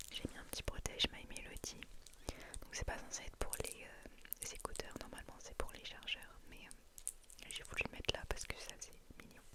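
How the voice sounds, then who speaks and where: A woman whispers at a moderate pace. Noticeable background noise runs behind her. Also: big swings in loudness. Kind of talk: ASMR what's in my bag. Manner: whispered.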